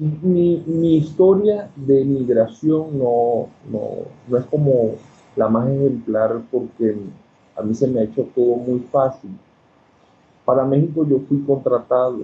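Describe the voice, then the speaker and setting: A man speaks at a very slow pace with long, frequent pauses. His pitch is medium, with ordinary variation. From Venezuela, Coro (Falcón state). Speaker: ophthalmologist and historian. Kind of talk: interview.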